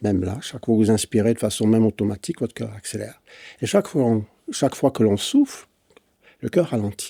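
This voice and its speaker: A man speaks at a fairly quick pace with long, frequent pauses, his dark, mellow tone sitting at a medium pitch with ordinary pitch variation, in a dry, close sound with no echo on a very clean recording with a silent background. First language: English (speaking French). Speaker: physician and breathing expert. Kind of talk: interview dialogue. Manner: hesitant, with frequent fillers.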